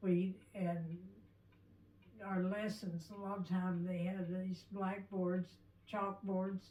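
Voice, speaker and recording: Over noticeable background noise, a woman with an American accent speaks at a medium pitch in a flat monotone. Her pace is very slow, with long, frequent pauses. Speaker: oral history interviewee. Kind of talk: oral history interview. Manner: halting.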